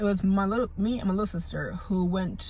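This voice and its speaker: A woman with a somewhat breathy, medium-pitched voice talks at a moderate pace. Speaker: vlogger. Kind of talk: storytime. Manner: casual, halting.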